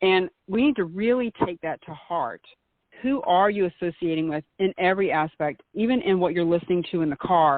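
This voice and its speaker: With a Southern US accent, a woman of fairly low pitch speaks at a moderate pace with lively intonation. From US South. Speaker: meetup organizer and author. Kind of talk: interview.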